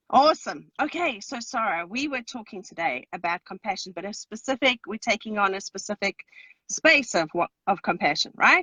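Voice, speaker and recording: A woman's fairly high voice with big swings in loudness, very wide pitch swings and a moderate pace. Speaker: parenting podcast co-host. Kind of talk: casual chat. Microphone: too quiet, headphones.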